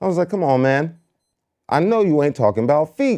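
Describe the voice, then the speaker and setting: Animated in tone, a man speaks at a fairly quick pace. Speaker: talk show co-host. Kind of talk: casual chat.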